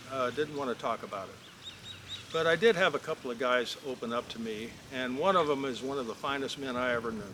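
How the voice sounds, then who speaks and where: With noticeable background noise behind him, a man of fairly high pitch talks at a fairly quick pace with ordinary pitch variation. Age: 60s. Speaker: real estate vlogger, former asphalt milling businessman. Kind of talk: casual storytelling vlog. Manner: halting, with frequent fillers.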